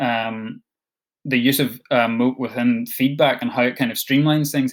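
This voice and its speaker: With a Scottish accent, a man talks in fairly even intonation. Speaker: education support officer for digital learning. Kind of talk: online training session. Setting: video call. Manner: fast; hesitant, many fillers.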